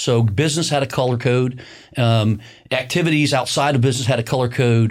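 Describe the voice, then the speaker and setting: Recorded very cleanly against a silent background, a man with an ordinary speaking voice talks at a fairly quick pace and medium pitch, with ordinary pitch variation. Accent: American. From US Midwest, Indiana (near Bloomington). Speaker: county commissioner and construction business owner. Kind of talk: interview conversation. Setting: studio.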